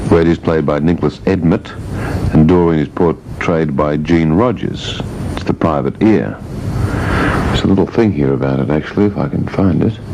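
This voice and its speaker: Noticeable background noise accompanies a man whose very deep, low voice moves at a moderate pace with ordinary pitch variation. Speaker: radio presenter. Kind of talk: breakfast radio talk. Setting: AM radio studio. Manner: dry, joking.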